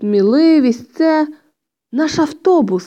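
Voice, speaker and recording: A woman in a put-on character voice speaks at a very slow pace with a high pitch. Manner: quiet, subdued.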